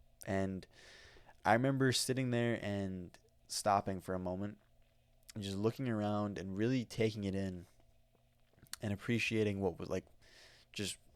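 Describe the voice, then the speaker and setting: Very clean recording with a silent background of a man with an American accent, fairly even intonation and a moderate pace. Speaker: podcast host. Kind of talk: casual podcast monologue. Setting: talking into a microphone. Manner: casual, filler-heavy.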